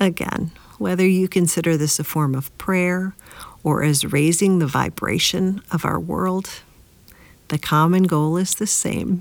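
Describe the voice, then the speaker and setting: At a fairly slow pace, a woman talks in a normal speaking voice with fairly low pitch. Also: fairly even intonation. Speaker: podcast host and meditation guide. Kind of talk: guided meditation. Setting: podcast, solo recording. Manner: slow, calm, soothing, with long pauses between repeated phrases; gentle and warm, encouraging.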